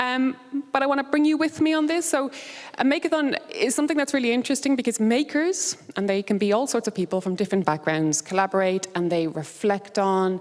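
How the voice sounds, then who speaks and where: Very wide pitch swings at a fairly quick pace. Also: woman. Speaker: conference speaker. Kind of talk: conference presentation. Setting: stage with audience. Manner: fast; animated.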